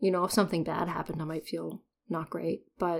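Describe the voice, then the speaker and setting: Very clean audio over a silent background, paced moderately. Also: woman. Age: 30s. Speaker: podcaster sharing personal ADHD journey. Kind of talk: personal solo monologue. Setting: at home.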